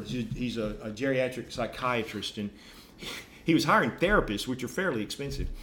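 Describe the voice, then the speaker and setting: Here a man has an ordinary speaking voice with a medium pitch. He talks at a fairly quick pace. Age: 60s. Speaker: podcast host, life coach. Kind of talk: casual teaching chat.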